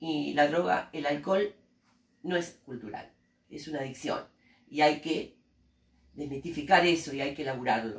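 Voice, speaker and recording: In a Rioplatense accent, a woman speaks fairly slowly with a very deep, low pitch and ordinary pitch variation. Her loudness swings a lot, and she leaves long, frequent pauses. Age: 60s. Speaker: teacher and human rights activist. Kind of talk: interview. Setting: school interview by students.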